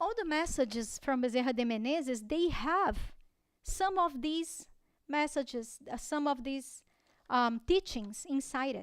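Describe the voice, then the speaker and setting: A woman speaks with a Portuguese accent at a high pitch. Her pace is fairly slow and her intonation lively. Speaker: spiritist lecturer. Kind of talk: religious talk. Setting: spiritist center. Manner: halting.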